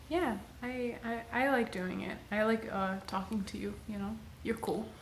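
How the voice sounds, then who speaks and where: A woman's fairly high, fairly slow voice with ordinary pitch variation, audible room echo and noticeable background noise. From Egyptian heritage. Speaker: podcast co-host. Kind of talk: casual chat. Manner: gets suddenly loud when excited or laughing; quiet, then loud laughing bursts.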